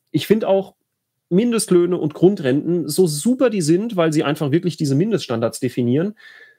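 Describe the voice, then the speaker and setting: Lively intonation marks a man's high-pitched voice with a dark, mellow tone. He speaks at a moderate pace. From Rhineland-Palatinate, Bad Kreuznach district. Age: 30s. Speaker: state politician. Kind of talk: solo livestream talk. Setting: home office. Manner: halting, many fillers.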